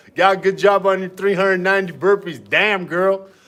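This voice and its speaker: At a moderate pace, a man speaks in an animated tone over noticeable background noise. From Armenian family household. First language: Armenian. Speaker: fitness streamer. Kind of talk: live workout stream chat.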